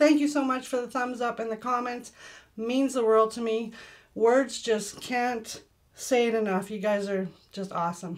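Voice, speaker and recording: The background stays quiet while a woman talks. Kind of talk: tutorial. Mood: warm, grateful. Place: home room. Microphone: camera far.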